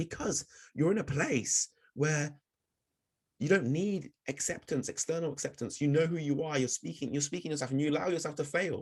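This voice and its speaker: Speaking at a moderate pace with a southern English accent, a man uses a fairly high pitch that varies in an ordinary way. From southern England, Oxford and Bristol. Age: 30s. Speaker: public speaking coach. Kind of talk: webinar presentation.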